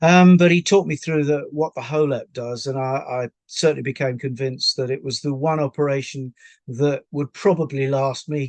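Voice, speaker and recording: In a dry, close sound with no echo and a quiet background, a man with an English accent speaks at a fairly high pitch and a moderate pace, with fairly even intonation and hardly any pauses. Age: 70s. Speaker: patient. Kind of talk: testimony. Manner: halting, many fillers.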